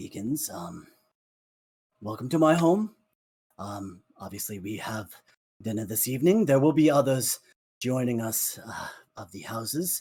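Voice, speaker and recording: A raspy, put-on character voice from a man, with lively intonation at a moderate pace. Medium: actual play. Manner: formal, hesitant.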